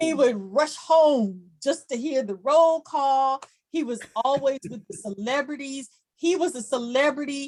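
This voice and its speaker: A woman speaks with a St. Louis accent at a high pitch with ordinary pitch variation. Her loudness swings widely. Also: fairly slow pace. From US Midwest, St. Louis, Missouri. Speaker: journalist. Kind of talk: podcast interview.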